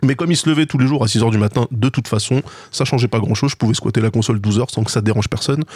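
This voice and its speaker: Somewhat breathy, a man talks at a very fast pace and medium pitch with ordinary pitch variation. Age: 40s. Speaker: video game podcast co-host. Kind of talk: casual chat.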